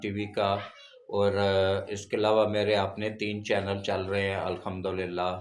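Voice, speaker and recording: A man speaks at a fairly low pitch in a flat, monotone way, with audible echo from the room. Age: 70s. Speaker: veteran journalist and religious channel host. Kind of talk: religious talk to camera.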